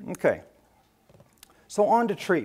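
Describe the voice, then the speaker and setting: At a moderate pace, a man delivers his words. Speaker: ophthalmologist giving a lecture. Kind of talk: lecture. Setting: stage with audience at a medical education event. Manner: passionate. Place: hall.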